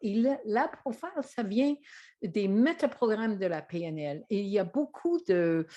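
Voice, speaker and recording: A woman with an English Canadian accent at a very slow pace, against a quiet background. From English-speaking Canada. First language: English (speaking French). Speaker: trainer and author. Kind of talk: presentation to camera. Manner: hesitant, many fillers.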